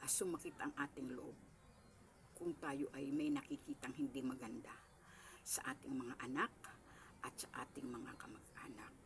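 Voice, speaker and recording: Whispering, the speaker leaves long, frequent pauses. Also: woman, moderate pace. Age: 70s. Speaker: small store owner vlogger. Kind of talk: casual home tour vlog. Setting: at home in her small store. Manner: polite, addressing viewers directly.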